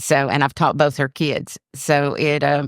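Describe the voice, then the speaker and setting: On a very clean recording with a silent background and a dry, close sound with no echo, a woman speaks in a Georgia accent at a very deep, low pitch. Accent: Southern American (Georgia). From US South, Georgia (Forsyth County). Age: 60s. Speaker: retired county commissioner. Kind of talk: casual interview chat.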